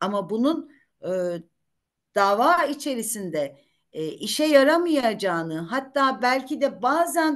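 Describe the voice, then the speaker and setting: The pitch swings very widely against a quiet background. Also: woman. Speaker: retired judge and lawyer; retired judge, lawyer. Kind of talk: career talk to law students. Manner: talkative. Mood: warm, anecdotal. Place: home room. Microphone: video call.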